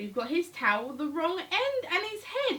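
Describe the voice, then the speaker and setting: A woman puts on a character voice at an extremely high pitch. She keeps a moderate pace with very wide pitch swings. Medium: read story.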